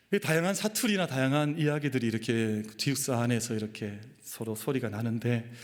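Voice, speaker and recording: A man in a plain, everyday voice, medium in pitch with ordinary pitch variation, fairly quick and with hardly any pauses. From Daegu, Gyeongsang region, South Korea. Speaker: pastor. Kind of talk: sermon.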